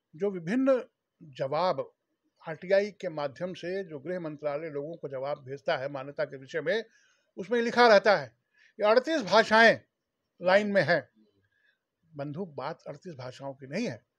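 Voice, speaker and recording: Over a quiet background, a man with a high pitch speaks with long, frequent pauses and big swings in loudness. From Bhojpuri-speaking region of India. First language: Bhojpuri (speaking Hindi). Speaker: Bhojpuri language activist, former government official. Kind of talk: interview. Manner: formal.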